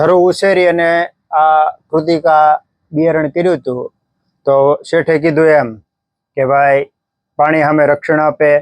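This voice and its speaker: This man talks in a monotone, flat delivery at a fairly high pitch. His loudness is very even, and the sound is dry and close with no echo. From Gujarat, Saurashtra (Talaja area). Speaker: farmer. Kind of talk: casual interview.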